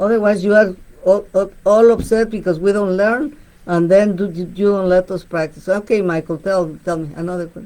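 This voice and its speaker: With a Spanish accent, a woman speaks at a moderate pace in a medium pitch, her tone dark and mellow, her intonation fairly even and her loudness swinging widely. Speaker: bilingual radio show host. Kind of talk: radio talk show. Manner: halting, repeats words.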